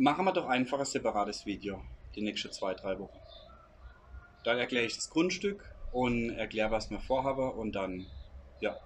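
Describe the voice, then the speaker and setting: The speaker uses lively intonation at a moderate pace, with long, frequent pauses. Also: man, medium pitch for a man. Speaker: emigrant vlogger. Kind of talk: casual Q&A chat.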